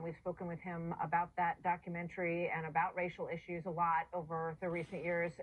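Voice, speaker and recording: Against noticeable background noise, a woman with a fairly low pitch speaks at a fairly quick pace in a flat monotone with hardly any pauses. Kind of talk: TV news interview host.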